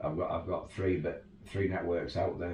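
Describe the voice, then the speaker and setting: With a Yorkshire accent, the speaker comes through noticeable background noise and audible room echo. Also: man. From Yorkshire, northern England. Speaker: 4x4 tour operator. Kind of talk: casual interview chat. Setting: home garage.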